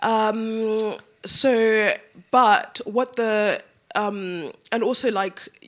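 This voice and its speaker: A woman talks at a very slow pace with long, frequent pauses. Her pitch is fairly high. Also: ordinary pitch variation. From Zimbabwe. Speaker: panelist, immersive media creator. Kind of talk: conference panel discussion. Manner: hesitant, many fillers.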